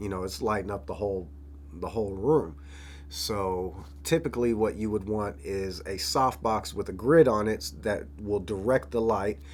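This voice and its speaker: With an American accent, a man talks at a moderate pace in a fairly low, somewhat breathy voice with lively intonation. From Florida. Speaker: rapper and videographer. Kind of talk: vlog narration. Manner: casual.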